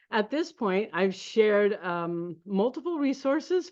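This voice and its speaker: Speaking at a moderate pace with an American accent, a woman of medium pitch is heard against a quiet background. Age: 60s. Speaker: network marketing distributor. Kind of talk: sales pitch. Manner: halting.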